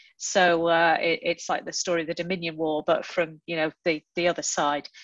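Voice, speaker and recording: A woman speaks at a moderate pace in a fairly low pitch. The sound is dry, with no echo. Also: quiet background. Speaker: panelist. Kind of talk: panel discussion answer. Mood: friendly, self-deprecating. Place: home room. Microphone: video call.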